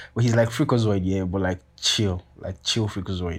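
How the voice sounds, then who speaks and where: A man's fairly low voice, with ordinary pitch variation, comes through on a very clean recording with total background silence. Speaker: podcast host. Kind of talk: casual solo rambling monologue. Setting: self-recorded at home, paused and restarted. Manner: fast talker, says 'like' a lot; casual, slangy, rambling.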